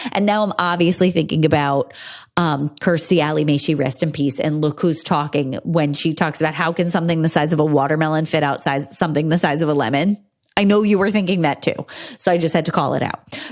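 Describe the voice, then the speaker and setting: With noticeable background noise behind her, a woman with a very deep, low pitch speaks at a fairly quick pace in an animated tone, keeping her loudness very even. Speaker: podcast host, women's health expert. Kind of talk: solo podcast talk.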